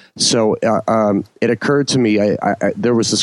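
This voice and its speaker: With a New Jersey accent, a man talks in fairly even intonation. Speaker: bass player. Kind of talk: casual chat.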